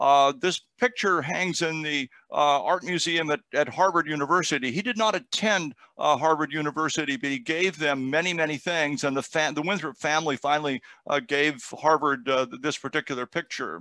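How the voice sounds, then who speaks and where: Here a man speaks at a moderate pace with ordinary pitch variation and a bright, sharp tone. The sound is dry with no echo, over a quiet background. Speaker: guest lecturer. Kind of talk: lecture. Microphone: headset.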